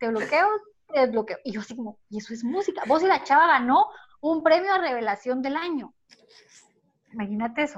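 A woman with a Guatemalan accent at a high pitch, with very wide pitch swings, big swings in loudness, long, frequent pauses and a fairly quick pace. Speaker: podcast co-host. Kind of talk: casual chat.

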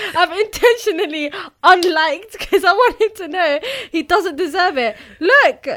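A woman with an extremely high pitch speaks at a moderate pace in a bright, sharp, animated tone with lively intonation. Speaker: podcast co-host. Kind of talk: casual chat. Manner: animated, laughs a lot.

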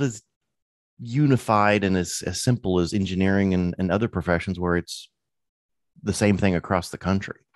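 In a dry, close recording with no echo and a quiet background, a man with a fairly low pitch and ordinary pitch variation speaks at a moderate pace with long, frequent pauses. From US Midwest, Illinois. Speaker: land surveyor. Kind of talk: interview conversation.

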